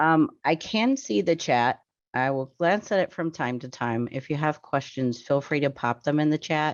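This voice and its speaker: Her very deep, low pitch carries ordinary pitch variation as this woman speaks at a moderate pace. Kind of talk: webinar presentation. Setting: video call webinar. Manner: halting with many fillers.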